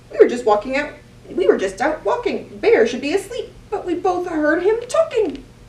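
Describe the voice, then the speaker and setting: In a put-on character voice, the speaker swings very widely in pitch at a moderate pace. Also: woman, extremely high pitch for a woman. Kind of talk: bedtime story. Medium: read story.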